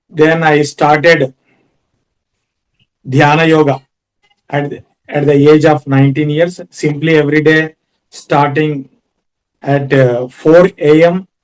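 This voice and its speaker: In an Indian accent, a man speaks with fairly high pitch and monotone, flat intonation. His pace is very slow, broken by long, frequent pauses. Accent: Indian English (Telugu). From India, Andhra Pradesh (Kurnool). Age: 40s. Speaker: yoga teacher and lawyer. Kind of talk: personal talk on yoga. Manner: halting, many fillers.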